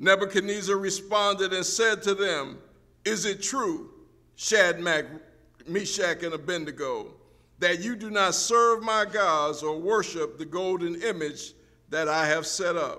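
Against a quiet background, a man uses a raised, projected voice with a bright, sharp tone at a fairly slow pace. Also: ordinary pitch variation. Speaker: preacher. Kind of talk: sermon, reading scripture aloud. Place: church. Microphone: podium.

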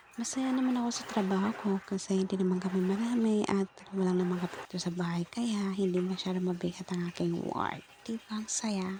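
With noticeable background noise behind her, a woman speaks at a fairly quick pace with fairly even intonation and hardly any pauses. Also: medium pitch for a woman. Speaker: domestic helper vlogger. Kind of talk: vlog voice-over. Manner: casual, chatty.

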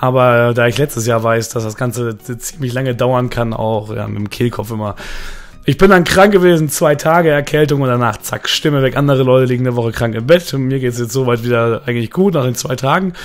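Noticeable background noise accompanies a man speaking fairly quickly with normal pitch movement. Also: medium pitch for a man. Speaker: gaming youtuber. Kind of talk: casual vlog. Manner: hesitant, many filler sounds.

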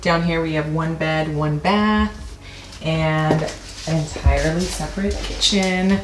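A woman speaks in a low pitch. Room echo is audible. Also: ordinary pitch variation, fairly slow pace.

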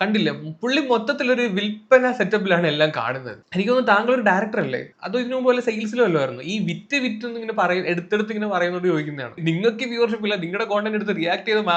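There is noticeable background noise as a man talks in a high pitch with lively intonation. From Kerala, Kollam. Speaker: YouTube reaction vlogger. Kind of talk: reaction video commentary. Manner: casual, not formal news-reading style.

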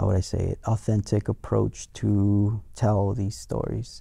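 A man talks at a fairly slow pace and a fairly low pitch, somewhat breathy. The sound is dry with no echo, and the background is quiet. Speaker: guest. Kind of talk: interview answer. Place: studio. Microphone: lapel.

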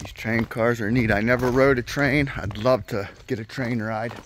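Light background noise sits under a man's monotone, flat delivery, with a dry sound and no echo. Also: moderate pace. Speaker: explorer vlogger. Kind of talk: casual vlog chat. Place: open country. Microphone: phone near.

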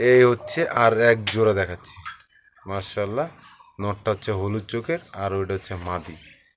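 A man speaks in a normal speaking voice. His pitch is fairly low, with ordinary variation. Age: 30s. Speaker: pigeon video channel host. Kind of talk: on-location interview.

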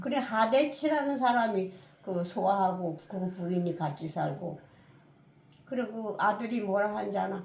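Amid noticeable background noise, a woman speaks at a fairly slow pace and medium pitch with lively intonation. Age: 80s+. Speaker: retired reader, book talk guest. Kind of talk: casual book talk interview answer.

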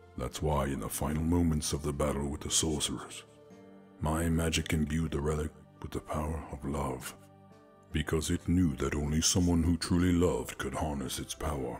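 Over clear music in the background, a man uses a put-on character voice with a very deep, low pitch at a moderate pace. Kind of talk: romantic ASMR roleplay. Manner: calm, seductive, patient, knowing.

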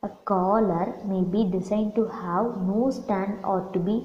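The speaker's intonation is fairly even. Behind the voice, background noise is noticeable. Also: woman. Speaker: assistant professor of fashion design. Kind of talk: lecture.

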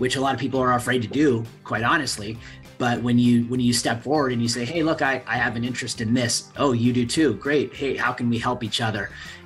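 Faint music plays in the background. A man speaks with fairly even intonation. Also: fairly quick pace. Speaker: guest. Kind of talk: interview answer. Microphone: video call.

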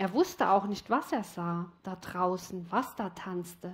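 A soft-spoken woman talks at a very slow pace. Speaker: storyteller. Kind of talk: story narration, reading a fairy tale aloud. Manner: slow, dreamy, soft and flowing. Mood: calm, reflective. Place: studio. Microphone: headset.

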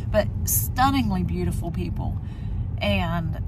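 Over noticeable background noise, a woman speaks at a fairly slow pace. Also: dry sound with no echo. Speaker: background extra and travel vlogger. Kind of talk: casual vlog commentary. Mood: tired but friendly. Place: car. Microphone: phone near.

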